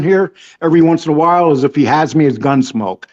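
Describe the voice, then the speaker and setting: A man talks at a very fast pace. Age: 60s. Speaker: online show guest. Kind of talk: casual chat.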